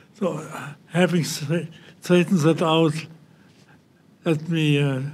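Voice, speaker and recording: Very slowly, a man with a German accent speaks at a fairly high pitch with fairly even intonation. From central Germany. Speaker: Holocaust survivor. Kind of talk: testimony. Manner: halting.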